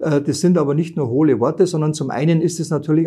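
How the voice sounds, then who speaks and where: Against a quiet background, a man speaks in a fairly high pitch with a dark, mellow tone. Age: 50s. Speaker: tax advisor. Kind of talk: interview. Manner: hesitant with frequent fillers.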